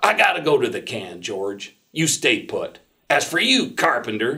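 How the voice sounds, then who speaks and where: A man uses a gruff, put-on character voice at a moderate pace. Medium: read story. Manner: gruff, barking.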